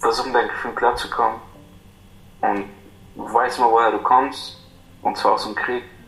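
A man at a fairly slow pace with long, frequent pauses, amid noticeable background noise and audible room echo. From Iraq. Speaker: refugee. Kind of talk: interview.

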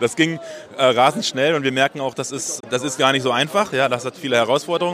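This man speaks at a very fast pace with ordinary pitch variation. His pitch is medium, and noticeable background noise runs under the clip. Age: 40s. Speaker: special education teacher and startup founder. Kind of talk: interview. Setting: recorded on site at an education congress.

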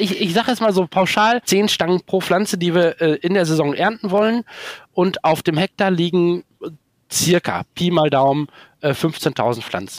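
Speaking at a moderate pace with very even loudness, the man has a high pitch and ordinary pitch variation, captured in a dry, close sound with no echo. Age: 40s. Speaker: organic asparagus farmer. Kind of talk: interview. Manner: halting.

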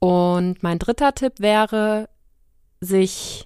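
A woman speaks at a medium pitch. The recording is very clean with a silent background, and the sound is dry and close with no echo. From Germany, Siegen. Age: 30s. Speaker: freelance journalist. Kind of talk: interview.

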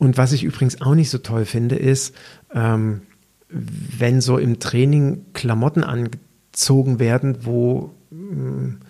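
This is a man with an unremarkable speaking voice. His medium pitch carries fairly even intonation. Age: 50s. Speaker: personal trainer and podcast host. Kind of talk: solo podcast monologue.

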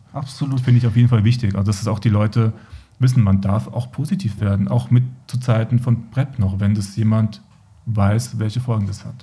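The man's voice is somewhat breathy, with a dark, mellow tone and a medium pitch. He talks at a fairly quick pace with ordinary pitch variation. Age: 40s. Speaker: HIV/AIDS support worker. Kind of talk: podcast interview.

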